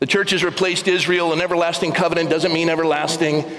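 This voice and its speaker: Room echo is audible. Background noise is noticeable too. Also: man. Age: 60s. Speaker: pastor. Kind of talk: sermon. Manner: repetitive halting stammer.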